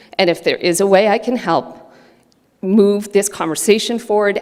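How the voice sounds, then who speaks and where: Medium-pitched female speech against noticeable background noise. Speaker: award recipient. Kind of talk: acceptance speech.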